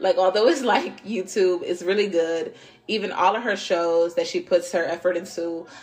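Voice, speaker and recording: A woman's medium-pitched voice, an ordinary speaking voice, at a moderate pace with fairly even intonation. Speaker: tarot reader podcast host. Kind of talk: casual tarot reading monologue. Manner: casual, filler-heavy.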